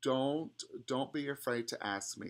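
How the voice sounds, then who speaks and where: A man talks with fairly even intonation. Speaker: music professor. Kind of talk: tutorial. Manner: halting, many fillers.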